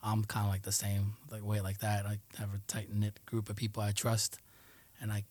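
At a moderate pace, a man speaks in a fairly low, somewhat breathy voice with a dark, mellow tone and flat, monotone intonation. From New York City, Queens (Jackson Heights), part of childhood in Colombia. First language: Spanish. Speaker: Air Force aircraft maintainer. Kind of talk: casual interview.

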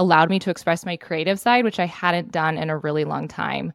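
In a very clean recording with a silent background and a dry, close sound with no echo, a woman with an ordinary speaking voice and a fairly low pitch talks at a fairly quick pace. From Montana. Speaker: ranching advocate and social media creator. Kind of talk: interview.

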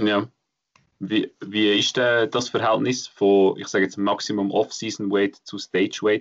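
Here a man talks at a medium pitch and a fairly slow pace. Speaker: fitness podcast host. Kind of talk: casual chat.

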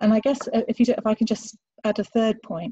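Somewhat breathy and fairly high in pitch, a woman speaks. Her pace is moderate.

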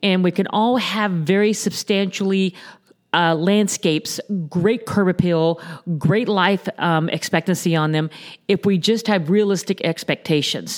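In an American accent, a woman speaks at a medium pitch with very even loudness and fairly even intonation. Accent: Southern US (Florida cracker). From Southwest Florida, Naples area. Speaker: landscaping company president. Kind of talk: interview. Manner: hesitant, many fillers.

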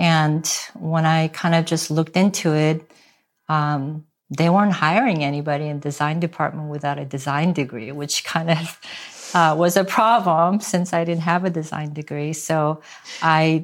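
With a Korean accent, a woman speaks at a moderate pace in a very deep, low pitch with fairly even intonation. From South Korea, moved to US at twelve. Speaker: real estate agent. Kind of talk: interview.

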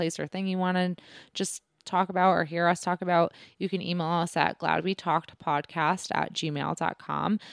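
Heard in a very clean recording with a silent background and a dry, close sound with no echo, a woman with an ordinary speaking voice and fairly low pitch talks at a fairly quick pace. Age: 20s. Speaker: podcast co-host. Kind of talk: casual chat.

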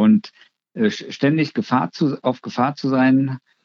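This is a man speaking at a medium pitch. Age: 60s. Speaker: psychiatrist and psychotherapist, clinic head physician. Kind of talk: interview, expert explanation.

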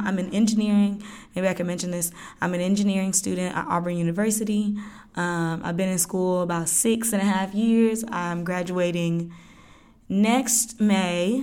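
Using an ordinary speaking voice, a woman with an American accent talks at a medium pitch with fairly even intonation. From Georgia, US. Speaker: podcast host. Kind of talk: solo podcast monologue. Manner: casual, many fillers.

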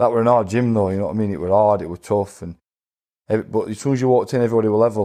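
A man with a fairly low pitch and a dark, mellow tone, very fast pace, fairly even intonation, quiet background. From Sheffield, northern England. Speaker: professional boxer. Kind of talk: interview. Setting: studio.

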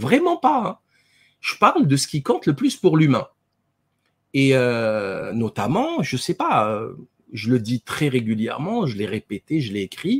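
A man at a fairly slow pace with long, frequent pauses, in a dry, close sound with no echo. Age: 40s. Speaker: dentist and author. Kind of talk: interview. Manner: hesitant, many fillers and repetitions.

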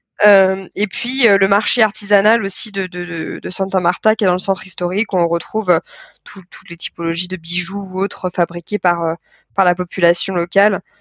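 This woman speaks at a moderate pace with monotone, flat intonation. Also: medium pitch for a woman. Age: 20s. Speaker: communications manager and traveller. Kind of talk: casual interview.

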